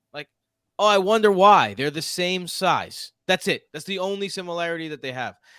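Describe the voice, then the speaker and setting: In a very clean recording with a silent background and a dry, close sound with no echo, a man speaks at a moderate pace in a high, bright, sharp voice with an animated tone, ordinary pitch variation and big swings in loudness. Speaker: podcast host. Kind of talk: casual chat.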